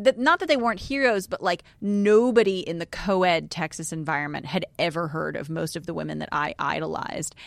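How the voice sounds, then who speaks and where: A woman with an American accent talks in a normal speaking voice, fairly low in pitch. Her intonation is lively, and she moves at a fairly quick pace with hardly any pauses. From New York. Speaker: podcast host. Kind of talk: casual chat. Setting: studio.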